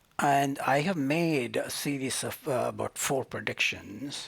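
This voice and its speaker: Noticeable background noise surrounds a man speaking at a fairly high pitch. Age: 80s+. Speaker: climate scientist. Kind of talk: prize lecture. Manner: hesitant, many filler sounds.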